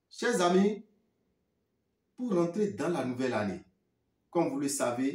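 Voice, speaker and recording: Very slow, somewhat breathy speech from a man with a Beninese accent, fairly high pitch and lively intonation. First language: Fon (speaking French). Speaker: spiritual teacher. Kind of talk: talk to viewers; sales pitch.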